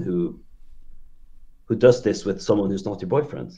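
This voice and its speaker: A man's dark, mellow voice, fairly low in pitch, with a Norwegian accent. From southern Norway, Kristiansand. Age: 30s. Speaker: caller sharing relationship story. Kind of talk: casual call-in podcast chat. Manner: halting, many fillers.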